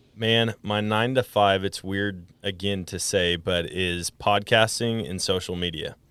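An ordinary speaking voice from a man with an American accent, fairly low in pitch, fairly slow in pace, with hardly any pauses. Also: fairly even intonation. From Wisconsin, US Midwest. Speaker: podcast host and hunter. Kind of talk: casual interview chat.

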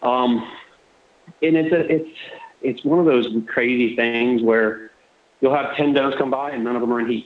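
A man with a Florida accent at a medium pitch and moderate pace, fairly even intonation, long, frequent pauses, noticeable background noise and audible room echo. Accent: US Southern (Florida). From Southwest Florida. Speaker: deer hunter. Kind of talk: casual chat.

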